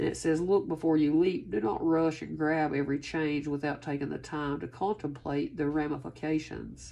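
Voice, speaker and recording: A woman speaks with hardly any pauses in a very deep, low voice. Her tone is dark and mellow, with vocal fry. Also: ordinary pitch variation, moderate pace. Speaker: tarot reader. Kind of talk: casual reading to viewers. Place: home room. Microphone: phone near.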